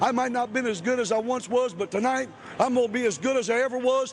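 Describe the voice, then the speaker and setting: A man with an American accent talks at a very fast pace in an extremely high pitch. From Ohio, Chillicothe. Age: 40s. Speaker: professional wrestler. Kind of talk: wrestling promo interview. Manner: animated.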